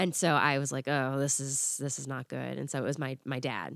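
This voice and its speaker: A woman with an American accent speaks at a moderate pace in a very deep, low, flat monotone, the sound dry and close with no echo in a very clean recording with a silent background. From Florida. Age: 30s. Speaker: podcast guest. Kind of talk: personal story in casual chat.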